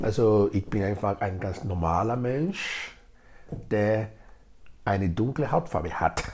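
A man with a Nigerian accent talks at a very slow pace, with long, frequent pauses. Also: fairly low pitch for a man, ordinary pitch variation. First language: Edo (speaking German). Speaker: integration project leader. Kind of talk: interview.

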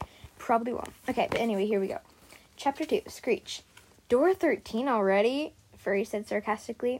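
The text is read in a natural reading voice.

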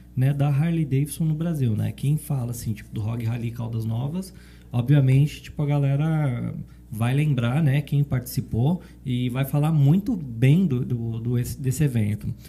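A man speaks at a moderate pace with a medium pitch and ordinary pitch variation. His voice is somewhat breathy, with a dark, mellow tone. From São Paulo city, Brazil. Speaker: motorcycle club ex-president. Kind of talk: casual podcast interview. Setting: studio, live-streamed.

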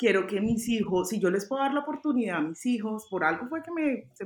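Her pitch sits fairly high and her intonation is lively. The woman speaks at a fairly quick pace. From Colombia, Cali. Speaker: fashion designer and stylist. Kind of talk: interview. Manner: halting.

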